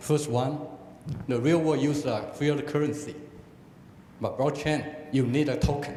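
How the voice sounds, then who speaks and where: Over noticeable background noise and audible room echo, a man talks at a moderate pace with a fairly high pitch, a flat, monotone delivery and long, frequent pauses. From Taiwan. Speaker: audience member asking a question. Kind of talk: audience question. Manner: halting.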